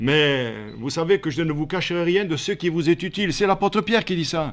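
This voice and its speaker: Against a quiet background, the speaker talks at a moderate pace with lively intonation. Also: man. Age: 70s. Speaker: pastor. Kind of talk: sermon.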